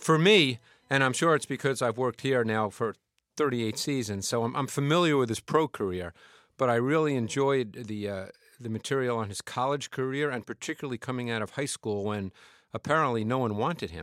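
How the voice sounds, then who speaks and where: A medium-pitched man at a fairly quick pace, a normal speaking voice, on a very clean recording with a silent background. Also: ordinary pitch variation. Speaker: football analyst. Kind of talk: casual chat. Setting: studio.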